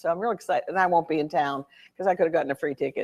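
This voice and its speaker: The voice shows ordinary pitch variation on a very clean recording with a silent background and a dry, close sound with no echo. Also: woman. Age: 60s. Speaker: author and army dentist. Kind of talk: talk with reading aloud. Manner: halting.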